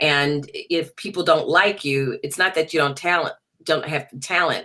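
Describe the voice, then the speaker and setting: A woman with a New Orleans accent speaks at a moderate pace in a very deep, low pitch. Her tone is bright and sharp, her intonation fairly even. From US South, New Orleans. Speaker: jazz singer. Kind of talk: interview.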